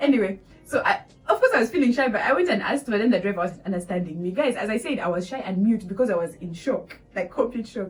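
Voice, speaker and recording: A woman talks very fast with a Ugandan accent, her fairly high voice full of lively intonation. Music plays in the background. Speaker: vlogger, international student. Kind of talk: casual storytelling vlog. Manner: animated.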